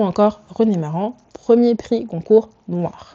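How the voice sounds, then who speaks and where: Her medium-pitched voice has a dark, mellow tone, and this woman speaks with lively intonation. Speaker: fashion and culture YouTuber. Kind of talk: video essay commentary. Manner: casual, switches to English asides.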